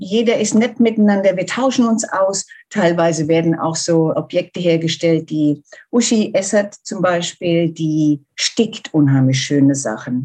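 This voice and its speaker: Dark and mellow in tone, a woman's voice sits at a fairly low pitch. She speaks at a fairly slow pace with lively intonation. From Germany. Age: 50s. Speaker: volunteer seamstress for wildlife charity. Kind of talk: interview.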